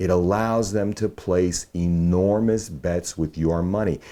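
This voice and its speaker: A man with an American accent speaks very slowly in a very deep, low voice, his tone dark and mellow and his pitch moving in an ordinary way. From Brooklyn, New York. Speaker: political candidate, writer and filmmaker, former finance executive. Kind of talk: political commentary to camera. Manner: conversational, wry, explanatory.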